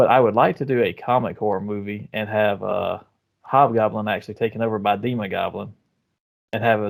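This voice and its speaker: Speaking fairly quickly with a Southern US accent, a man uses a fairly low voice and fairly even intonation. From US South. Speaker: podcast co-host. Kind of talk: casual chat.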